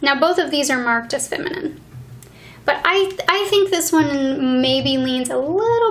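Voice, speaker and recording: This woman is soft-spoken. She talks at a fairly slow pace. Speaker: beauty reviewer. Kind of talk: ASMR beauty product review.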